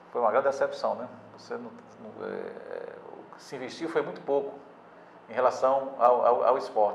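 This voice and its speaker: A man speaks at a moderate pace, leaving long, frequent pauses. His loudness swings widely, and background noise is noticeable. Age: 60s. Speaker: sports newspaper editor. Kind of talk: interview. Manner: halting, many repetitions and fillers.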